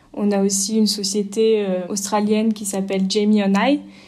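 A woman's dark, mellow tone comes through in a monotone, flat intonation. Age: 30s. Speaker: startup CEO. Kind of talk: interview.

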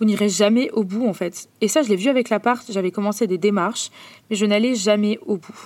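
A woman's plain, everyday voice, fairly high in pitch, moves at a moderate pace with ordinary pitch variation. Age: 20s. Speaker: podcast host. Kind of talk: personal monologue. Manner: casual.

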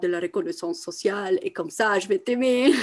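Lively intonation marks this woman's speech at a moderate pace. The recording is very clean, with a silent background. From Italy. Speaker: women's coach and artist. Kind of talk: podcast interview. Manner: halting, many repetitions and fillers.

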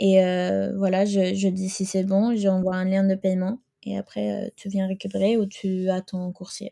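Her tone is dark and mellow, and this woman speaks at a medium pitch and a fairly slow pace. The intonation stays monotone and flat, with a dry, close sound and no echo. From Sweden. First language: Swedish (speaking French). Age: 20s. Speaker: fashion rental entrepreneur. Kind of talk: interview. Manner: halting.

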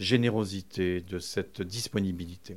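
Here a man speaks at a very slow pace. His recording is very clean, with nothing audible behind him. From France, Vincennes. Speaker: book publisher, festival founder. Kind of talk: interview. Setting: publisher's office.

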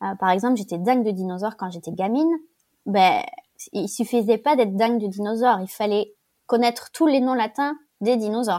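Very clean and set against a silent background, the recording carries a woman's dark, mellow tone at a fairly high pitch. She talks at a fairly quick pace with ordinary pitch variation. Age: 30s. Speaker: guest sharing personal story. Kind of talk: testimony. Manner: halting.

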